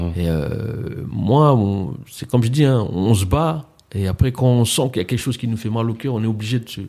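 A man talks at a moderate pace with a medium pitch. He has a normal speaking voice. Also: ordinary pitch variation. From France, Mantes-la-Jolie (Paris suburbs). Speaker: entrepreneur and event organiser. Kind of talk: casual interview.

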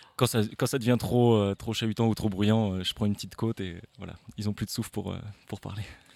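On a very clean recording with a silent background, a man speaks at a fairly quick pace and a fairly low pitch, his intonation monotone and flat. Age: young. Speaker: mountain bike instructor. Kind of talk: live interview. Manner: halting.

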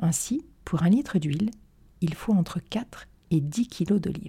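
A somewhat breathy woman with a dark, mellow tone speaks at a fairly slow pace and medium pitch, her intonation lively. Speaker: dietitian podcast host. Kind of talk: scripted narration. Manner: smiling.

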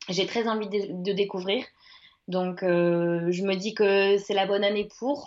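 A woman speaks at a very slow pace with a medium pitch, fairly even intonation and very even loudness. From France, Le Mans (Sarthe). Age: 30s. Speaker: ultra-trail runner. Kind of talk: interview. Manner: hesitant, many fillers.

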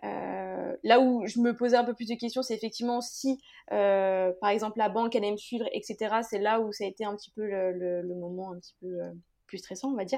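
A woman's fairly high-pitched voice with a dark, mellow tone, fairly even intonation, a moderate pace and big swings in loudness. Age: 20s. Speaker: fashion brand founder. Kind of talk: interview.

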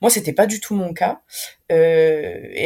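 A woman's dark, mellow voice at medium pitch, with fairly even intonation and a very slow pace. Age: 30s. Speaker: nurse and doula. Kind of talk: personal testimony interview. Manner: hesitant, many fillers.

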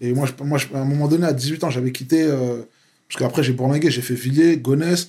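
Somewhat breathy and dark, mellow in tone, a man's fairly high voice moves at a fairly quick pace with fairly even intonation. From France, Paris suburbs (Val-d'Oise). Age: 30s. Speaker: activist. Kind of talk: casual interview.

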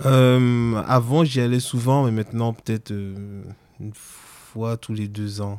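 A man with a slight Antillean accent speaks at a very slow pace, with long, frequent pauses. His intonation is fairly even, while his loudness swings widely. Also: medium pitch for a man. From French Antilles. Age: 30s. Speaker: interviewee sharing personal story. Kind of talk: personal testimony.

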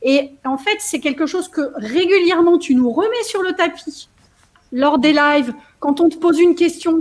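Extremely high-pitched woman's voice at a fairly slow pace, with ordinary pitch variation. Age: 50s. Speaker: coaching program participant and trainer. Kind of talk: testimony. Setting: video call.

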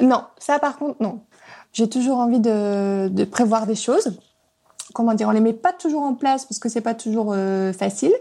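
Her voice has a dark, mellow tone, and this woman speaks at a fairly high pitch with ordinary pitch variation. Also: moderate pace. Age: 30s. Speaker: podcast guest sharing her relationship. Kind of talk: personal testimony. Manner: halting, many hesitations.

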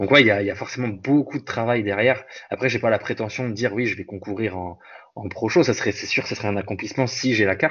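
Noticeable background noise fills the clip. The speech comes very fast. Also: man, medium pitch for a man, ordinary pitch variation. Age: 20s. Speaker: bodybuilder and fitness coach. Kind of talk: casual interview. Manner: halting.

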